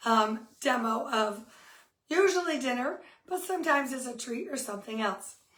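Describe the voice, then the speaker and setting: Audible room echo surrounds this speaker. She is a woman with a high pitch, talking at a moderate pace. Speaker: cooking demo host, kitchenware consultant. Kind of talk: live cooking demo. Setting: home kitchen, live stream. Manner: friendly, chatty.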